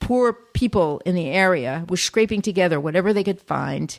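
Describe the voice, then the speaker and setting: A woman talks at a moderate pace with a fairly low pitch. Her voice has vocal fry and lively intonation. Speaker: podcast co-host. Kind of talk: casual podcast conversation.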